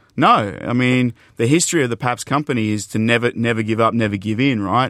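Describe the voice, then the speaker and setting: A man with an Australian accent and a medium pitch is heard on a very clean recording with a silent background and a dry, close sound with no echo. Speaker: beverage company executive. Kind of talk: interview. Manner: animated.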